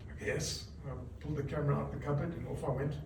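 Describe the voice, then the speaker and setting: A male voice with clear background noise and a noticeable echo from the room. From South Africa. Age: 60s. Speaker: news cameraman. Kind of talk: reunion speech. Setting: reunion gathering with audience. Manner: casual, halting.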